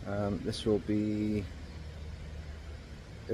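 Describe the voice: A man's fairly low voice with a slightly mellow tone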